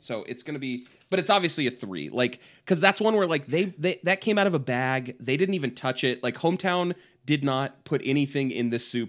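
With a plain, everyday voice, a man at medium pitch speaks at a fairly quick pace with lively intonation on a very clean recording with a silent background. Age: 30s. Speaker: comedy podcast co-host. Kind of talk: casual chat.

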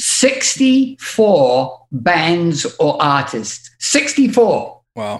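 With a British accent, a man speaks at a high pitch with very wide pitch swings. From England. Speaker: music industry manager. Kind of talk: casual chat.

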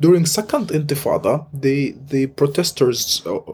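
Speaking with an Arabic accent, a man has a fairly high pitch and ordinary pitch variation. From Gaza, Palestine. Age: 20s. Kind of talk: interview. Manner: halting, many fillers.

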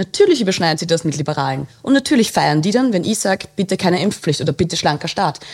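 An ordinary speaking voice comes through with lively intonation. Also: woman. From Austria, Waldviertel (Lower Austria). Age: 30s. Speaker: journalist. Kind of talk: casual interview.

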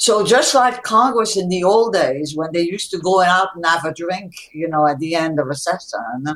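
A normal speaking voice with an American accent and lively intonation moves at a moderate pace. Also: woman. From Europe, emigrated to US as child. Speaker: philanthropist. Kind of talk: interview.

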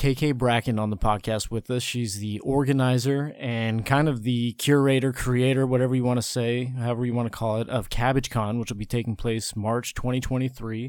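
A man with a plain, everyday voice and fairly even intonation, on a very clean recording with a silent background. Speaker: podcast host.

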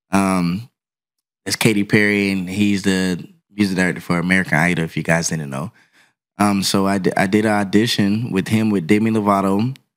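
Fairly quick and fairly even in intonation, a man speaks in a normal speaking voice at a fairly low pitch. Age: 30s. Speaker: touring drummer. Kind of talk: casual chat. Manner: laughs often.

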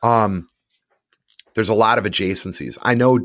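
This speaker has an American accent and a fairly quick pace. The pitch varies in an ordinary way. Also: man. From US North. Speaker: trade magazine publisher. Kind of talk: casual chat.

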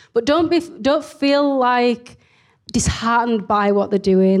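Recorded very cleanly against a silent background, a woman speaks high with ordinary pitch variation and a strong Leeds accent. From northern England, Leeds. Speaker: entrepreneur. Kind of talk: interview in front of an audience. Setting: live event with audience.

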